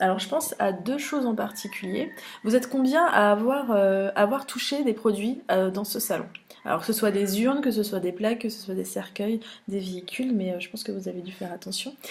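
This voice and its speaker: A woman speaks at a fairly high pitch and a fairly quick pace, with ordinary pitch variation and big swings in loudness, over noticeable background noise. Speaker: funeral industry news editor. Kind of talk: trade show recap vlog. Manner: fast; hesitant, many filler sounds.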